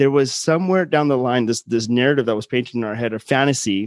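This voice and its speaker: A normal speaking voice moves at a fairly quick pace with ordinary pitch variation. The background is quiet. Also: man. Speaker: podcast host. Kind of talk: casual interview conversation.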